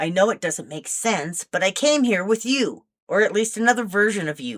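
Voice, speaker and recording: Using a raspy put-on character voice, a woman speaks at a moderate pace and a medium pitch. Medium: read story. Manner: earnest, firm.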